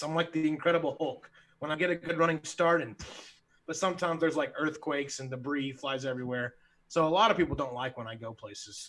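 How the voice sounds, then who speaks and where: Loud and fairly quick, a man speaks with an American accent in a bright, sharp tone. His pitch is fairly high, with ordinary variation. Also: very clean recording, silent background. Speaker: sixth grade teacher and podcast co-host. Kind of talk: casual chat. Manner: animated.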